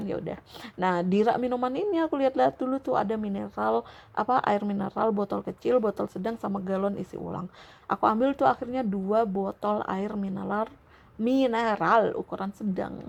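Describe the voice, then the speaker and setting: This woman has a plain, everyday voice at medium pitch with ordinary pitch variation. She talks at a fairly quick pace. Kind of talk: sleep story, casual rambling talk.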